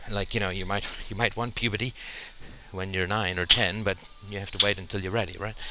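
Over noticeable background noise, a man speaks at a fairly quick pace. His fairly low voice stays monotone and flat. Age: 40s. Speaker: podcast host. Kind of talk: solo monologue. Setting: at the gym. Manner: halting with fillers.

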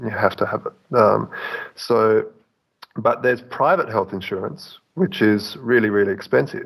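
With vocal fry and lively intonation, a man speaks. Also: medium pitch for a man, moderate pace. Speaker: caller. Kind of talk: call-in discussion. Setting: Skype mobile call in a big room. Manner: halting, repeats words. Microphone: echoey.

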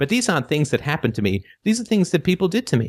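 In a dry, close sound with no echo, a man's somewhat breathy voice moves through very wide pitch swings. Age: 40s. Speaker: philosophy call-in show host. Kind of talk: call-in show talk. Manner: hesitant with many fillers.

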